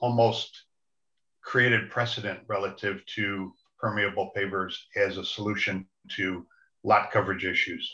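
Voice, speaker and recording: Against a quiet background, a man with a bright, sharp tone talks at a fairly slow pace in a fairly even intonation. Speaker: zoning board member. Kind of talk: committee meeting. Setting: video call. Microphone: video call.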